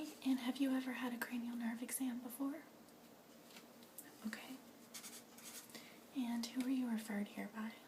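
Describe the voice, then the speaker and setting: Soft-spoken and at a high pitch, a woman talks at a moderate pace with monotone, flat intonation and long, frequent pauses, over noticeable background noise. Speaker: ASMR artist doing a doctor roleplay. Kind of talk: ASMR medical roleplay. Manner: soft-spoken, gentle.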